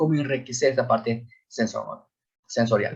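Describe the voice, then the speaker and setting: Somewhat breathy, a man's voice comes through. He talks fairly slowly. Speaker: school psychologist. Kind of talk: lecture. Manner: hesitant with repetitions.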